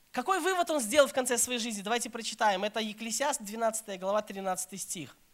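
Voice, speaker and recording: Noticeable background noise sits behind a man with an extremely high pitch. His intonation is lively and his pace moderate. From Belarus, Minsk. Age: 30s. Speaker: pastor. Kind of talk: sermon.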